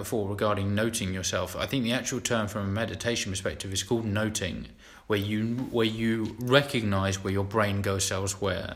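Here is a normal speaking voice. It moves at a moderate pace. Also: man. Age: 20s. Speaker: podcast co-host. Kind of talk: casual chat.

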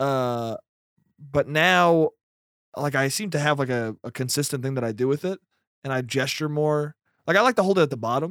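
With an American accent and a fairly high pitch, a man speaks with ordinary pitch variation and long, frequent pauses, in a dry, close, echo-free sound on a very clean recording with a silent background. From Westchester, New York. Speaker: stand-up comedian. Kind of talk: casual chat. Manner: fast; mumbling.

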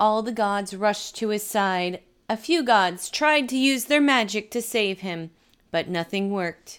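A woman's fairly high voice, animated in tone and lively in intonation, at a fairly slow pace on a very clean recording with a silent background. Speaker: stand-up comedian and podcaster. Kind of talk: comedic storytelling; dramatic narration with character voices. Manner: animated, jokey, irreverent.

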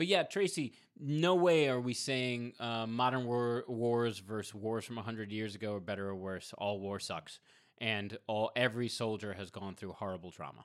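In a very clean recording with a silent background, a man with an unremarkable speaking voice talks at a moderate pace and medium pitch, using lively intonation. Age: 40s. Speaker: mental health podcast co-host. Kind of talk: casual chat.

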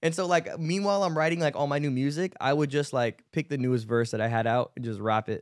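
A man's very fast, animated delivery at a fairly high pitch with hardly any pauses, in a very clean, dry, close recording with no echo and a silent background. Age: 20s. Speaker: rapper and podcast co-host. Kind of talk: casual chat.

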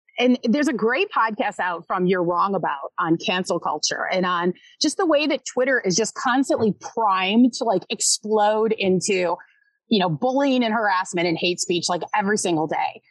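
In an ordinary speaking voice, a woman talks at a moderate pace with a fairly high pitch and lively intonation, recorded dry and close with no echo against a quiet background. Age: 40s. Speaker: sportswriter and author. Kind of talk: casual interview chat. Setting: podcast recording.

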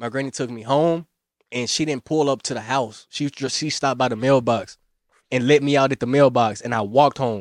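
A man with an unremarkable speaking voice, medium in pitch, at a fairly quick pace with fairly even intonation, dry and close with no echo, over a quiet background. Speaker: podcast guest. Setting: studio.

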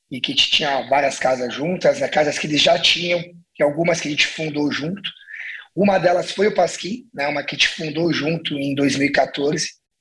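A plain, everyday voice belongs to this man, who speaks at a moderate pace with a fairly high pitch and ordinary pitch variation. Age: 40s. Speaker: restaurant entrepreneur. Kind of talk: casual interview.

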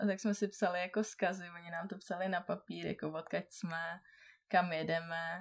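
A woman's fairly low voice in a monotone, flat intonation at a moderate pace. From Czechia, Karlovy Vary. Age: 20s. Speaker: traveller. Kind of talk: casual chat. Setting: in person, sitting beside the host.

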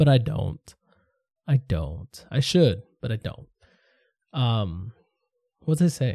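A man speaks very slowly at medium pitch, with long, frequent pauses, very wide pitch swings and vocal fry. His tone is dark and mellow, and the sound is dry and close with no echo. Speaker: podcast host. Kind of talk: solo monologue podcast. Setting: home studio. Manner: casual, halting.

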